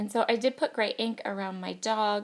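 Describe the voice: A croaky woman's voice at medium pitch and moderate pace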